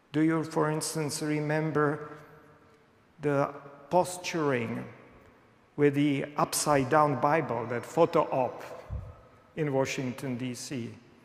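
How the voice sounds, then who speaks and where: Speaking very slowly with long, frequent pauses, a man with a fairly high pitch keeps a fairly even intonation amid audible room echo and noticeable background noise. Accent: non-native. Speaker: pastor. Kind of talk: sermon. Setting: church.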